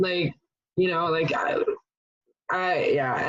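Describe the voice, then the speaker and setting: A medium-pitched woman's voice with a slight French accent. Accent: almost accent-free English, slight French. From France, Paris. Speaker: podcast guest. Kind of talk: casual chat. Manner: halting, many fillers.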